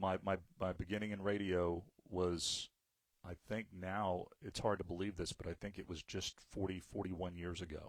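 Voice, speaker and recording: Someone with an American accent speaks at a moderate pace with monotone, flat intonation, in a very clean recording with a silent background. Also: man, very deep, low pitch for a man. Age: 50s. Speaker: radio host. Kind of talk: casual chat.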